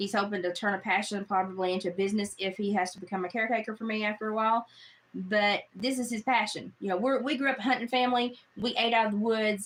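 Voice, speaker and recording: Speech in a Southern US accent rushes by at a very fast pace. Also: woman, fairly high pitch for a woman. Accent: Southern twang. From Appalachia. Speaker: live streamer. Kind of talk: casual chat. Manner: animated.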